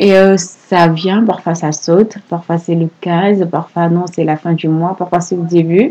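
A soft-spoken woman with a fairly low pitch talks at a very slow pace in a monotone, flat intonation. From Senegal, Saint-Louis. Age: 20s. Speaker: podcast guest. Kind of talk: personal testimony.

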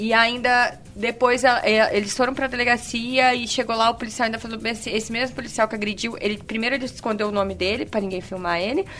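Over noticeable background noise, a woman speaks very fast in a fairly high pitch, with fairly even intonation and hardly any pauses. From Vitória, Espírito Santo, Brazil. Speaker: podcast guest. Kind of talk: casual chat.

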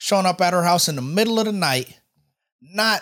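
A very clean recording, silent background, and speech at a fairly quick pace. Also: man. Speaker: podcast co-host. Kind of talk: casual chat. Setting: studio.

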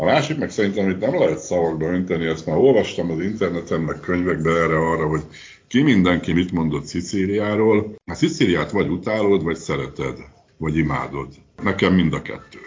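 There is audible room echo around a man whose very deep, low voice moves with ordinary pitch variation. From Hungary. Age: 60s. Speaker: retiree living abroad. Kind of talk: interview. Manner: halting.

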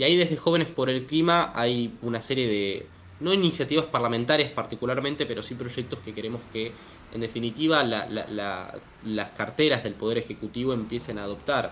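A man speaks at a medium pitch with ordinary pitch variation and a fairly quick pace. He has a normal speaking voice. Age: 20s. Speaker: climate activist. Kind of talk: interview.

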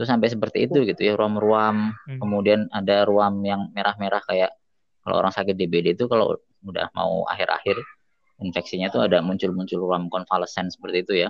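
Delivered at a very fast pace, the words carry fairly even intonation. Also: man, fairly low pitch for a man. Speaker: doctor and addiction researcher. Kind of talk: casual interview chat.

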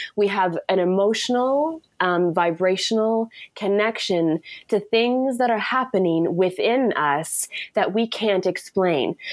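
A woman with an ordinary speaking voice, medium in pitch, speaking at a fairly slow pace with lively intonation. Her loudness stays very even, and the recording is very clean with a silent background. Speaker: author and poet. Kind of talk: casual interview conversation.

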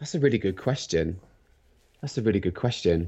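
The man speaks with lively intonation. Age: 40s. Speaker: functional medicine practitioner and cyclist. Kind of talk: casual interview chat. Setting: phone or video call.

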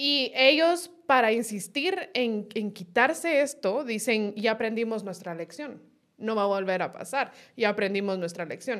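A woman speaks in an unremarkable speaking voice at a fairly slow pace. Her pitch is fairly high and her intonation lively. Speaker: political analyst. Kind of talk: casual political discussion. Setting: studio.

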